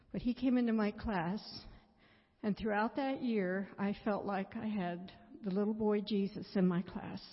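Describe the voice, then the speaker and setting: A woman with a medium pitch and a somewhat breathy voice talks at a fairly slow pace with fairly even intonation. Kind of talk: testimony.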